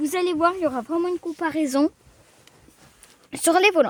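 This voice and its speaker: A woman's voice with a slight Alsatian accent, dry and close with no echo. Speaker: car video youtuber. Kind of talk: casual car review vlog. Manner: casual, hesitant with fillers.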